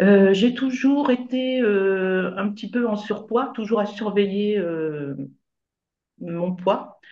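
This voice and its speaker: In a room with audible echo, a woman talks very slowly. Her medium-pitched voice has a dark, mellow tone and ordinary pitch variation. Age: 60s. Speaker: retired nurse, coaching client. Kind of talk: interview testimony. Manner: hesitant, many fillers.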